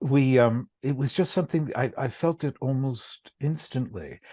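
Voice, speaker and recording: Recorded dry and close with no echo against a quiet background, a man with an American accent speaks at a medium pitch in a dark, mellow tone with ordinary pitch variation. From US, New York City and Philadelphia suburbs. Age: 70s. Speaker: journalist. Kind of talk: casual chat.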